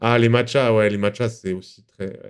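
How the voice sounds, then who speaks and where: A man speaks at a moderate pace. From Paris suburbs, France. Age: 20s. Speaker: video game streamer. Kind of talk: casual live-stream chat while gaming. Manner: animated, informal.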